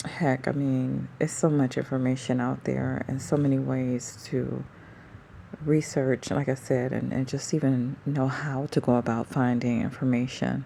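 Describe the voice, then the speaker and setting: A soft-spoken woman at a very deep, low pitch, with a dark, mellow tone, monotone, flat intonation and a fairly slow pace. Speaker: vlogger. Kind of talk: casual monologue vlog. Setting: at home at night before sleep. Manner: soft-spoken, talking low.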